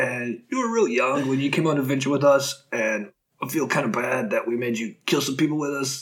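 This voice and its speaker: A man performs in a put-on character voice. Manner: gentle, awkward.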